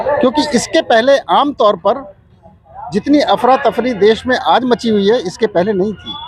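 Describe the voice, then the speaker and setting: A man speaks at an extremely high pitch with ordinary pitch variation, crowd noise audible behind him. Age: 60s. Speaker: retired air force officer, protester. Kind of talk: street interview.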